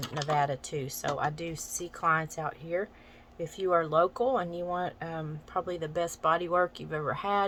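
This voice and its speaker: A woman's fairly low voice in an American accent, with fairly even intonation at a moderate pace. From US South, Arkansas Ozarks. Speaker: massage therapist and teacher, vlogger. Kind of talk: casual vlog introduction. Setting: getting ready for work while filming.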